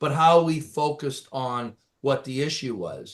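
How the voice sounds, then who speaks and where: The speaker has a Canadian accent and ordinary pitch variation. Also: man. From rural Canada. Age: 60s. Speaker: executive and former business lawyer. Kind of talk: interview conversation. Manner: hesitant, many fillers and repetitions.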